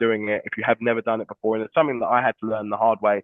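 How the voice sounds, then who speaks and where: With a British accent, a man talks in a medium pitch. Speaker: entrepreneur and recruitment expert, former footballer. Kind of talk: webinar Q&A interview. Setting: online webinar.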